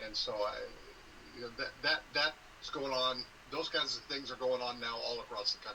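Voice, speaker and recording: A man speaks at a moderate pace with an American accent. Noticeable background noise runs behind him. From Southern California. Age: 60s. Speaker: sports conference commissioner and former sportscaster. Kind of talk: interview.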